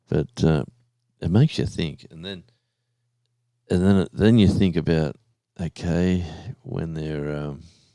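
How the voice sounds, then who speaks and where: Very deep and low with a dark, mellow tone, a man speaks at a fairly slow pace with an Australian accent and long, frequent pauses. The recording is very clean, with a silent background. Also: ordinary pitch variation, big swings in loudness, dry, close sound with no echo. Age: 60s. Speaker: live stream host. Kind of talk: casual chat. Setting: live stream. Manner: halting.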